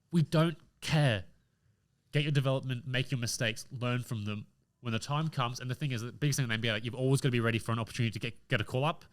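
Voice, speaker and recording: A man with an Australian accent talks at a very fast pace, his pitch medium and its variation ordinary. The recording is very clean, with a silent background. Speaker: podcast host. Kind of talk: casual chat. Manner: animated.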